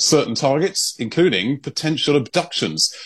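A man talks at a moderate pace with an unremarkable speaking voice. His intonation is lively. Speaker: London-based news correspondent. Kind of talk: newsreading, briskly delivered. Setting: radio link-up with studio. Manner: fluent, measured, conversational.

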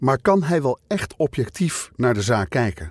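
A man speaks at a moderate pace in a solemn tone, somewhat breathy, with lively intonation. The recording is very clean, with a silent background. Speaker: podcast narrator and investigator. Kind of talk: true-crime podcast narration, scripted and serious. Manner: measured, solemn, steady storytelling pace.

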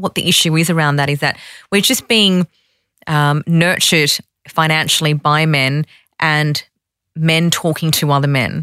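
A woman with an Australian accent speaks at a moderate pace in a very deep, low pitch with a bright, sharp tone. The recording is very clean, with a silent background and a dry, close sound with no echo. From Sydney, Australia. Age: 30s. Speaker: women's finance organisation founder. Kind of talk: interview.

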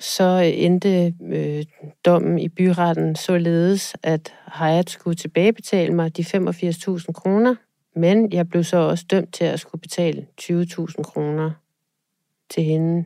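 Her dark, mellow voice sits at a fairly low pitch, moving at a very slow pace with monotone, flat intonation. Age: 40s. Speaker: fraud victim. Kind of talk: interview testimony. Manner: halting, with fillers.

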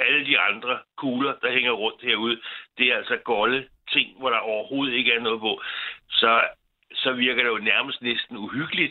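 The speaker has a plain, everyday voice at a moderate pace. Intonation is fairly even. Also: man, medium pitch for a man. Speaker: caller. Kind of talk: casual chat. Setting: phone call.

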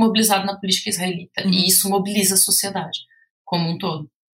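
Talking at a very fast pace, a woman with a medium-pitched voice speaks with a Brazilian accent. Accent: Brazilian Portuguese, obvious. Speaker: researcher and author. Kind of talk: podcast interview. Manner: hesitant, many fillers.

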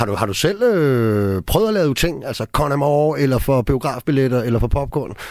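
In an ordinary speaking voice, a man with a medium pitch talks at a moderate pace, his intonation lively and hardly any pauses breaking it up. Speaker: radio host. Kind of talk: radio interview. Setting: studio.

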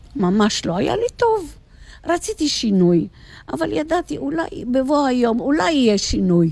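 Speaking at a high pitch, a woman swings her voice very widely up and down. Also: moderate pace. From Egypt. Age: old. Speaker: retired teacher. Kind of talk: casual chat.

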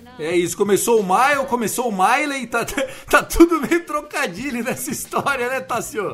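A man speaks in an animated tone with lively intonation and an extremely high pitch. Music plays in the background. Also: moderate pace. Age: 30s. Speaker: podcast host. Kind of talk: casual chat.

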